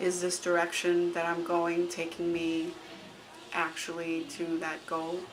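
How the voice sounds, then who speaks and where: A woman speaks at a fairly low pitch. Noticeable background noise and audible room echo surround her voice. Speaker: vlogger and artist. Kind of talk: personal video blog. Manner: halting, many pauses.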